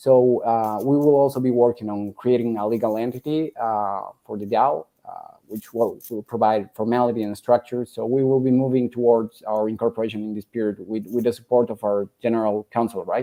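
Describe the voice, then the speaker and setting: Dark and mellow in tone, a man talks fairly quickly at a medium pitch with fairly even intonation, big swings in loudness and hardly any pauses, the sound dry and close with no echo. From Bolivia. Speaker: operations and governance lead. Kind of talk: interview. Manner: halting.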